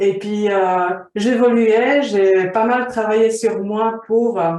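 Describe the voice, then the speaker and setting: Intonation stays fairly even as a woman speaks with a fairly high pitch. Her pace is very slow. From Slovakia. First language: Slovak (speaking French). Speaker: vision coach. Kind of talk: interview.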